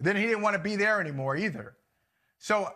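A man projects his voice loudly, his bright, sharp tone swinging very widely in pitch. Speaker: sports talk show co-host. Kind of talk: commentary. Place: home room. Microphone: lapel.

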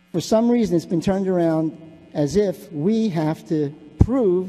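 With music playing in the background, a man with an American accent talks at a high pitch with lively intonation. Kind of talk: public comment speech. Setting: city council chamber. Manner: halting, many fillers and repetitions.

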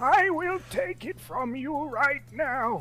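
Over clear background music, a put-on character voice talks at a very slow pace.

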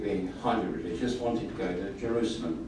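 A man talks at a fairly quick pace. The room echo is audible, with light background noise. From Britain. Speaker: audience member. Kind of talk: audience question. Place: hall.

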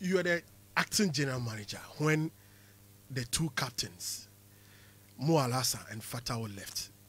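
In a Ghanaian accent, a man speaks at a moderate pace with a medium pitch. His intonation is lively, broken by long, frequent pauses. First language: Twi. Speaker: sports radio presenter. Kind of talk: radio interview.

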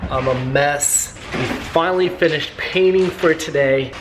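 A man's fairly high voice with ordinary pitch variation, fairly slow in pace, over faint background noise

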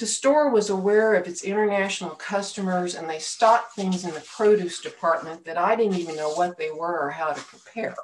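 Ordinary pitch movement from a female speaker. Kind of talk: sermon-style personal story. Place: home room. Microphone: webcam.

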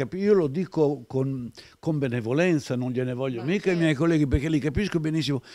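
A man talks at a very fast pace in a fairly high pitch with ordinary pitch variation. His tone is dark and mellow, over a quiet background. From Italy. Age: 70s. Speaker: retired film archive director; interview guest. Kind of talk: interview storytelling. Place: home room. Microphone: handheld.

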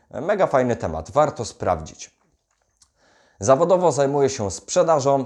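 A man speaks at a fairly high pitch and a fairly slow pace, with very wide pitch swings. Vocal fry is present, and the background is quiet. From Poland, Greater Poland (Wolsztyn). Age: 20s. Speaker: self-development YouTuber and salesman. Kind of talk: direct-to-camera vlog monologue.

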